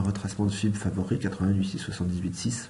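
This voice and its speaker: The speaker is soft-spoken, and audible room echo can be heard. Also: man. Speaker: forex trading analyst. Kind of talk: market analysis tutorial. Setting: at home.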